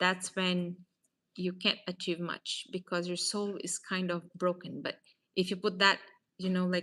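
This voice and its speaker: A woman with a Portuguese accent speaks at a fairly slow pace in a medium pitch, with monotone, flat intonation and a bright, sharp tone on a very clean recording with a silent background. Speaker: real estate advisor. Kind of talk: casual faith talk / motivational vlog. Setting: at a table, self-recorded. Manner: hesitant, many fillers.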